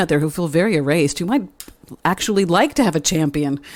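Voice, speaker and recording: Very fast and animated, a woman with an American accent speaks with very wide pitch swings. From Texas, Austin. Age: 60s. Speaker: musician. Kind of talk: casual chat. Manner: halting.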